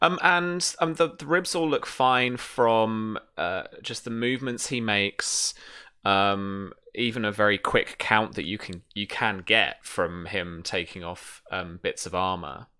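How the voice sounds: Speaking at a fairly slow pace, a man with a fairly low pitch and ordinary pitch variation has a clear, smooth tone that is also bright and sharp.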